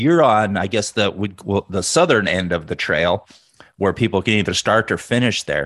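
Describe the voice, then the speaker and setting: Against a quiet background, a man with a plain, everyday voice speaks at a fairly low pitch and a moderate pace, with lively intonation. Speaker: podcast host. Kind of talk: casual interview chat.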